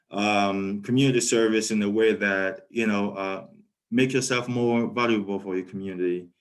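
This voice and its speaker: A man speaks at a moderate pace with a French accent. His pitch is fairly low and his intonation fairly even. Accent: French-speaking. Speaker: PhD student. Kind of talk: webinar talk. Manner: hesitant, many fillers.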